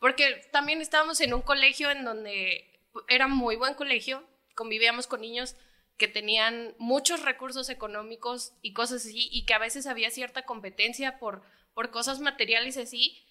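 A woman speaks at a moderate pace with a high pitch. Her tone is bright and sharp, and her intonation is fairly even. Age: 20s. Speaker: footballer's daughter. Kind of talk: casual family chat.

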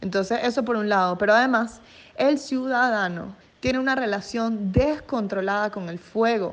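Fairly high in pitch, a woman speaks in an ordinary speaking voice. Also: ordinary pitch variation, moderate pace. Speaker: environmental journalist. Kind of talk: radio interview.

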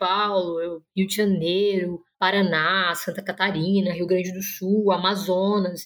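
A woman's unremarkable speaking voice, medium in pitch, at a fairly slow pace. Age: 20s. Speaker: master's student in international relations. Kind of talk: interview, explanatory.

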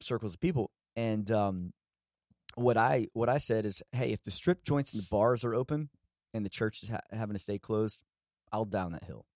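A man with a Southern US accent speaks at a moderate pace with a medium pitch and ordinary pitch variation, leaving long, frequent pauses, in a very clean recording with a silent background and a dry, close sound with no echo. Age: 30s. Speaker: pastor. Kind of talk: casual chat.

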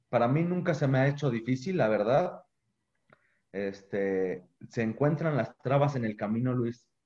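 A man with a dark, mellow tone and medium pitch speaks at a fairly slow pace. His intonation is lively. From Mexico, Guanajuato. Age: 20s. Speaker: business student and bakery owner. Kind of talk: interview.

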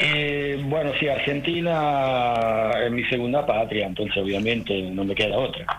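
Over noticeable background noise, a man with a medium-pitched voice speaks with hardly any pauses and ordinary pitch variation. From Rome, Italy. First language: Italian (speaking Spanish). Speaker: diving centre owner. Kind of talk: casual radio interview. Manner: halting.

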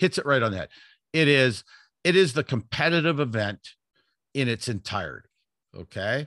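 A man with a Western Canadian accent at a medium pitch and moderate pace, lively in intonation, with long, frequent pauses, on a very clean recording with a silent background and a dry, close sound with no echo. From Vancouver, Canada. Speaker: athletics coach. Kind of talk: casual interview.

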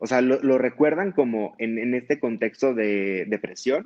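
Speaking at a fairly slow pace, a man with a medium pitch and a dark, mellow tone uses ordinary pitch variation. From Mexico, Sonora (Hermosillo). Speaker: psychiatry resident. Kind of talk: interview. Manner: halting.

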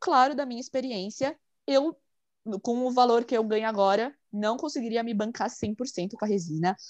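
With an unremarkable speaking voice, a woman talks at a moderate pace in a fairly high pitch with lively intonation, her sound dry and close with no echo against a quiet background. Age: 20s. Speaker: online shop owner, resin artist. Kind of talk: casual interview.

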